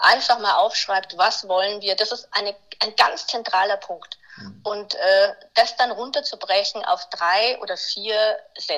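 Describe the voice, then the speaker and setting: A woman's fairly slow delivery comes through noticeable background noise. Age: 50s. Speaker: nonprofit communications consultant. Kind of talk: casual interview. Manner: halting.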